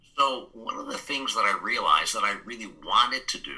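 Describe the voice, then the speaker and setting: Noticeable background noise surrounds the speaker. He is a man talking at a moderate pace. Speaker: business growth consultant and speaker. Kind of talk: interview.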